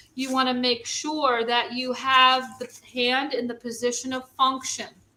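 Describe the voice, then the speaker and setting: A raised, projected voice with a bright, sharp tone and a New York accent. The intonation stays monotone and flat at a fairly slow pace. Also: woman, high pitch for a woman. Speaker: first responder. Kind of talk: training demonstration.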